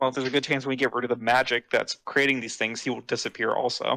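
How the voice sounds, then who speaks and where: Using a put-on character voice, a raspy man talks very fast at a medium pitch with monotone, flat intonation, the sound dry and close with no echo. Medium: actual play. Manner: dry, sarcastic.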